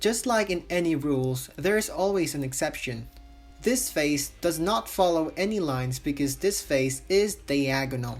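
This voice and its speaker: The speech moves fairly slowly. A non-native accent is audible. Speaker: art tutorial maker. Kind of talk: tutorial narration. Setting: low-quality home microphone.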